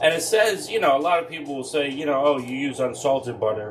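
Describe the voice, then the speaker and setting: A man's medium-pitched voice with an American accent, amid noticeable background noise and audible room echo. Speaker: military veteran cooking show host. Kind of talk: cooking tutorial. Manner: casual, hesitant with fillers.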